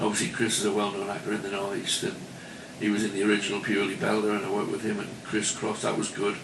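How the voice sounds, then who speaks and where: In a Geordie accent, a fairly low-pitched man talks very fast in a monotone, flat intonation amid noticeable background noise and audible room echo. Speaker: club entertainer and actor. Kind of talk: radio interview.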